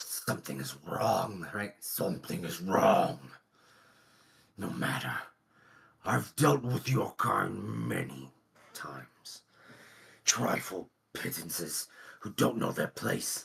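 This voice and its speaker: A man's put-on character voice, very deep and low in pitch, growling and raspy with a menacing tone, very wide pitch swings, a very slow pace and long, frequent pauses. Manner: growling, menacing.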